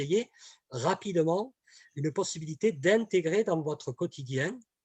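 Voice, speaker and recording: Recorded dry and close with no echo, a man with a southern French accent speaks at a high pitch with lively intonation. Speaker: communication trainer. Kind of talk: webinar presentation. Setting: online webinar. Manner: hesitant, many fillers and repetitions.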